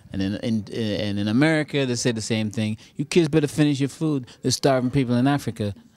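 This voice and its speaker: Very fast and with hardly any pauses, a man talks in a medium pitch. His pitch varies in an ordinary way. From Trinidad, Claxton Bay. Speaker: comedian and actor. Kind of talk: post-show interview.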